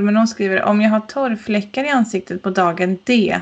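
A woman's fairly high voice, a normal speaking voice, with fairly even intonation. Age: 30s. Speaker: wedding podcast co-host. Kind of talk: casual chat.

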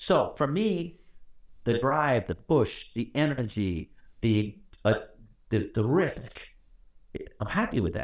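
A man's pitch swings very widely. Vocal fry runs through his voice. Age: 70s. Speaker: electrical code educator and author. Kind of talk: interview. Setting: video call. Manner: animated.

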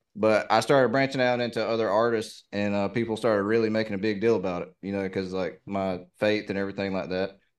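Against a quiet background, a man with fairly low pitch speaks at a very fast pace. He leaves hardly any pauses and holds a fairly even intonation. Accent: Southern US. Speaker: reaction YouTuber. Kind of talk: casual interview conversation. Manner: laid back.

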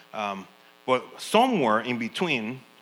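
Lively intonation in a bright, sharp tone. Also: man. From Panama. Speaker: missionary. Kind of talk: sermon.

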